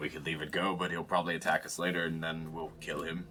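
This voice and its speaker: A man's put-on character voice, very deep and low, raspy and monotone, at a very fast pace over clear background noise. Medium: actual play. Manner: blunt, matter-of-fact.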